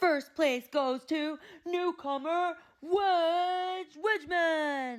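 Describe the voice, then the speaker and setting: Putting on a character voice, a woman speaks at an extremely high pitch with ordinary pitch variation. Her pace is very slow. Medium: read story. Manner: loud, formal.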